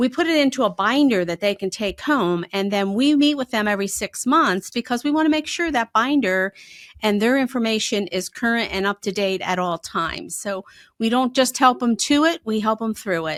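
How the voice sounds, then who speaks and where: A woman speaks at a moderate pace with a slight Pennsylvania accent. Her fairly high pitch carries lively intonation on a very clean recording with a silent background. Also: dry, close sound with no echo. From Pennsylvania, north of Harrisburg. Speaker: financial advisor. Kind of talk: podcast interview.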